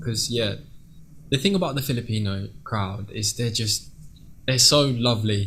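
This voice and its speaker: With an English accent and vocal fry, a man speaks at a moderate pace with ordinary pitch variation and long, frequent pauses. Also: medium pitch for a man. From England. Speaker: singer. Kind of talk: interview.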